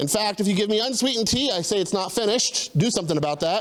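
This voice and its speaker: A man with an American accent talks in a high pitch, his tone animated and his intonation lively. Noticeable background noise runs under him. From US South, Tennessee. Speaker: missionary. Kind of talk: testimony. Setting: church service, streamed.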